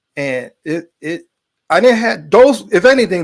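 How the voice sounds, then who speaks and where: In a very clean recording with a silent background, a man with an American accent uses a plain, everyday voice with lively intonation. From Brooklyn, New York. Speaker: filmmaker, army veteran. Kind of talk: interview testimony.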